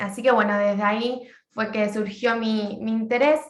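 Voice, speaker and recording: Her fairly high pitch and fairly even intonation give this woman an ordinary speaking voice. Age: 20s. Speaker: social work graduate student. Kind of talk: class presentation.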